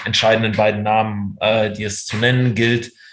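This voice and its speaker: A man with a medium-pitched voice speaks at a fairly quick pace. His intonation is monotone and flat, with noticeable background noise. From Germany, raised from childhood after moving from the Soviet Union. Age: 30s. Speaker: freelance journalist. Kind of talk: interview.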